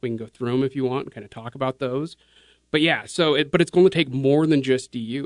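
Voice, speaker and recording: In a normal speaking voice, a man with an American accent talks at a fairly quick pace and a medium pitch with fairly even intonation. The recording is dry and close, with no echo. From Utah (Kaysville). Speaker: conservation nonprofit fundraiser. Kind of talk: podcast interview. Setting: studio.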